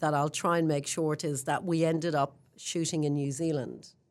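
In a very clean recording with a silent background, a woman with an Irish accent talks at a moderate pace in a very deep, low pitch with fairly even intonation. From Ireland. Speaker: real estate general manager. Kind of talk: interview.

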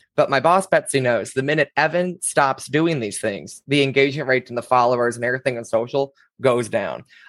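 A man with an ordinary speaking voice talks at a moderate pace and a fairly high pitch, in a dry, close sound with no echo. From small-town US. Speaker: community builder. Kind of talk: interview.

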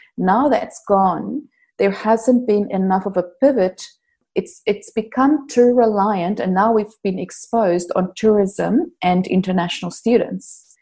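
A woman's voice, dark and mellow in tone, comes across somewhat breathy. Her pace is fairly slow and her pitch varies in an ordinary way. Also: medium pitch for a woman. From South Africa. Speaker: workplace strategist and organizational psychologist. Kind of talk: interview.

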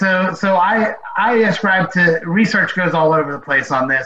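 A man's intonation is lively while noticeable noise sounds behind him. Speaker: athletic trainer. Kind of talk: casual interview chat. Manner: hesitant, filler-heavy.

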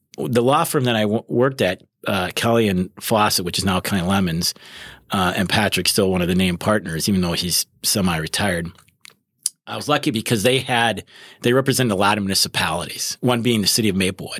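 A plain, everyday voice with an American accent speaks at a fairly quick pace with ordinary pitch variation, recorded very cleanly against a silent background with a dry, close sound and no echo. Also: man, fairly low pitch for a man. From Wisconsin. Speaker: criminal prosecutor. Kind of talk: casual interview.

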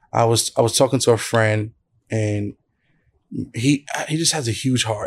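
A man with a New York accent keeps a fairly even intonation on a very clean recording with a silent background. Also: medium pitch for a man, moderate pace. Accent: New York (Brooklyn) English. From Brooklyn, New York. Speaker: church planter and pastor. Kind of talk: interview. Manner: casual, with many fillers.

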